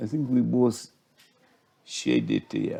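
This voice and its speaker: A man is speaking. His tone is dark and mellow. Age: 80s+. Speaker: retired judge and law professor. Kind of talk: interview.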